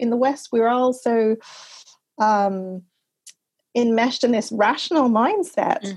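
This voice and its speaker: A woman talks at a fairly slow pace in an ordinary speaking voice. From Canada, Montreal. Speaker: author and travel writer. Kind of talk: interview.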